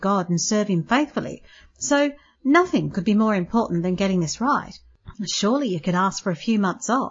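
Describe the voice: Lively intonation in plain read-aloud delivery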